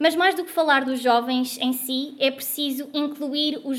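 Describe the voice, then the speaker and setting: A woman's voice, high in pitch. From Portugal, Guarda (interior). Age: 20s. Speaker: student activist and panel moderator. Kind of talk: panel talk at a political forum.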